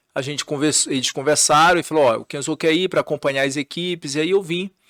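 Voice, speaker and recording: A man talks very fast at a fairly high pitch with fairly even intonation. The recording is very clean, with a silent background and a dry, close sound with no echo. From northern Brazil, Belém, Pará. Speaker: TV journalist and news anchor. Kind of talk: casual podcast interview.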